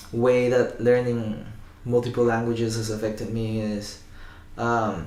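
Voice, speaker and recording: A man with a non-native accent speaks in a monotone, flat intonation. Audible room echo is present. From Spanish-speaking country, Cantonese-speaking family. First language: Spanish and Cantonese. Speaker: guitarist. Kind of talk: casual interview. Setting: sitting together in person. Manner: halting with fillers.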